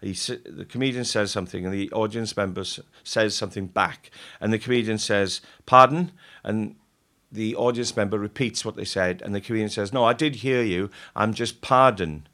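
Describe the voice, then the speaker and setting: On a very clean recording with a silent background, a man with a South Wales accent speaks at a moderate pace in a fairly low pitch, with a bright, sharp tone and ordinary pitch variation. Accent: South Wales Welsh English. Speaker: comedian. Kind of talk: casual chat.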